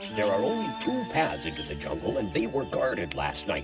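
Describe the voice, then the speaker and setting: A man adopts a put-on character voice with a medium pitch. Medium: fan dub. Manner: blustery, hearty.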